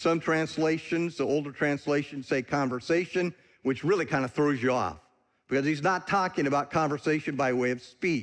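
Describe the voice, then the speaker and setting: Against a quiet background, a man with an American accent and an ordinary speaking voice talks at a moderate pace in a fairly high pitch, with ordinary pitch variation and very even loudness. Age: 60s. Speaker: visiting preacher, ministry leader. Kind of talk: sermon. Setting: church.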